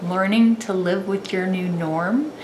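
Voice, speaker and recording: A woman talks with ordinary pitch variation while audible room echo and noticeable background noise fill the recording. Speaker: vlogger. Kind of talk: personal vlog testimony. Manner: occasional stutter, halting; slower speech.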